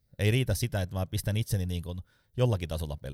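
A man with an ordinary speaking voice talks fairly quickly with lively intonation, on a very clean recording with a silent background and a dry, close sound with no echo. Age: 40s. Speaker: sales trainer. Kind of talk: casual interview.

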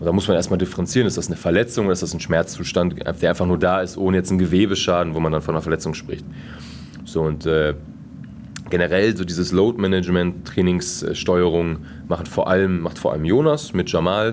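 With audible room echo and noticeable background noise, a man with a very deep, low pitch talks at a fairly quick pace, leaving long, frequent pauses. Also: ordinary pitch variation. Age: 20s. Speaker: team physiotherapist. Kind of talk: interview. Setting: sports hall after training.

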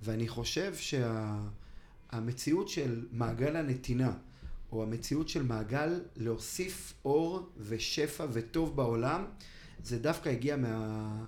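A man speaks at a very slow pace. Audible room echo lingers around his words. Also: medium pitch for a man, ordinary pitch variation. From Israel, Ra'anana. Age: 30s. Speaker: charity foundation director. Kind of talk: interview.

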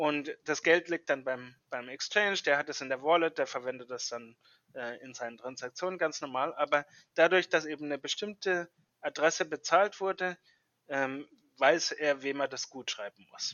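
A man with a fairly high pitch at a moderate pace, with ordinary pitch variation and big swings in loudness. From Germany. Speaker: software engineer. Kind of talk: interview. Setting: remote call. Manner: hesitant, many fillers.

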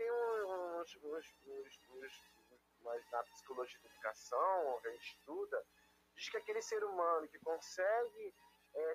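Music in the background behind a man speaking at a fairly slow pace. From Rio de Janeiro city, Brazil. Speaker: art teacher. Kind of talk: interview. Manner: halting.

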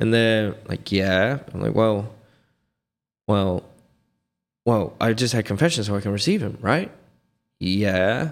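A man speaks with a fairly low pitch and ordinary pitch variation, at a fairly slow pace. Long, frequent pauses break it up, on a very clean recording with a silent background. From England, near London. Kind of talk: casual podcast interview.

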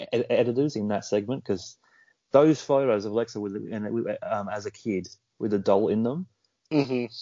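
This man speaks at a medium pitch with an Australian accent. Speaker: podcast co-host. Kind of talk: casual chat.

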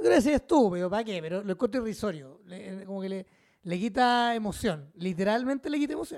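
A man with a Chilean accent speaks very fast at a high pitch. His intonation is lively and his tone animated. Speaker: podcast host. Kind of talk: casual chat.

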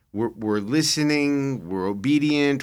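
A man speaks at a very slow pace with ordinary pitch variation. The recording is very clean, with a silent background. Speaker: podcast host on prophecy. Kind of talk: casual chat. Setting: studio.

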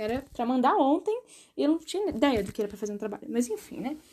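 A woman races along at a very fast pace, her high-pitched voice carrying a dark, mellow tone. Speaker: podcaster. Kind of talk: casual monologue.

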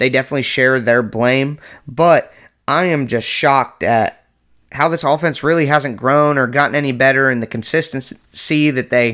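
Captured on a very clean recording with a silent background, a man's medium-pitched voice has a bright, sharp tone and fairly even intonation. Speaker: sports podcast host. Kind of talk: angry fan rant about the team's coaching decisions, vented in a raw, exasperated tone. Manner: exasperated, repeating himself in disbelief, rising intensity, rapid-fire complaints.

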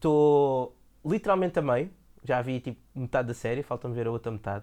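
Dark, mellow male tone on a very clean recording, silent background behind it. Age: 30s. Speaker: podcast co-host. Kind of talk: casual chat. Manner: animated.

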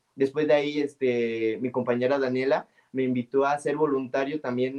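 The pace is moderate, and the intonation remains fairly even. It is a normal speaking voice. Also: man, hardly any pauses. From Mexico, San Luis Potosí. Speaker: librarian and storyteller. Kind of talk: interview.

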